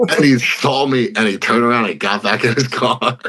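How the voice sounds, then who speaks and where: At a moderate pace, a man with an American accent talks in a normal speaking voice. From Philadelphia / New Jersey area, US. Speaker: bare-knuckle fighter. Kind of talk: interview, casual chat.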